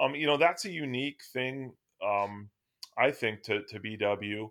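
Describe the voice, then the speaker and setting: A man's medium-pitched voice with ordinary pitch variation, in a very clean recording against a silent background. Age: 40s. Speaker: university professor. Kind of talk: casual interview chat. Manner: halting, many fillers and repeats.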